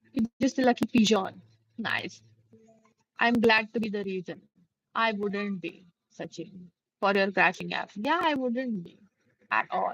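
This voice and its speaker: A woman with an Indian accent talks at a fairly slow pace with lively intonation, big swings in loudness, and long, frequent pauses. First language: Hindi. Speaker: live streamer. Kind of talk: casual chat.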